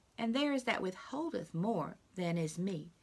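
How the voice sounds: The intonation here is lively. It comes from a natural reading voice.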